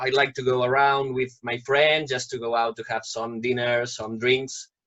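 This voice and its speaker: A man speaks at a medium pitch. He talks with a Catalan accent. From Catalonia, Spain. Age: 30s. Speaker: project participant. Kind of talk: self-introduction.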